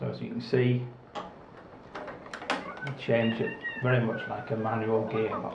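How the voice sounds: A man speaks with vocal fry at a medium pitch and a fairly slow pace. His pitch moves little, and strong room echo surrounds the voice.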